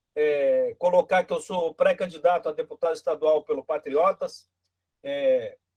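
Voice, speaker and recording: A man speaks at a fairly slow pace with a dry, close sound and no echo. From Brazil. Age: 60s. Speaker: political candidate. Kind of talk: political speech in virtual meeting. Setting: video call. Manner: halting, repeats words.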